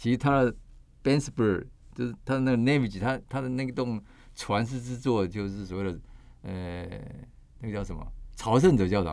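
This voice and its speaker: This man talks at a fairly quick pace. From Taiwan, Kaohsiung. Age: 60s. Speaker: architect and author. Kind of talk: interview.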